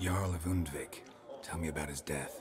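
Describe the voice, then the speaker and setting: A man uses a put-on character voice, very deep and low, at a moderate pace. Background noise is clear. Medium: machinima. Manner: dry, understated.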